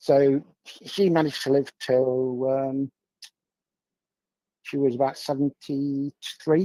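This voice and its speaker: In an English accent, a man speaks at a very slow pace and a fairly high pitch, his intonation monotone and flat, his tone dark and mellow, with long, frequent pauses and a dry, close sound with no echo. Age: 60s. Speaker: guest. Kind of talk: casual chat. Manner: halting.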